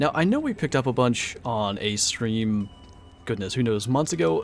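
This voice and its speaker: A man's medium-pitched voice at a moderate pace, with music playing behind it. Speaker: streamer. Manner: conversational, casual.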